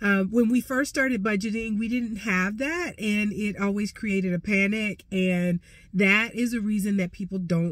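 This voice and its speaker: Somewhat breathy, a woman speaks at a medium pitch and moderate pace with ordinary pitch variation. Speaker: personal finance coach. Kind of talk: casual tutorial. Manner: conversational, many fillers.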